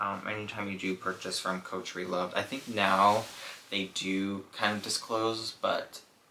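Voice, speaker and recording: Against noticeable background noise, a man talks fairly slowly in a fairly low voice with fairly even intonation. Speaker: fashion YouTuber reviewing handbags. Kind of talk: casual product review vlog. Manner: slurring words; hesitant, many fillers.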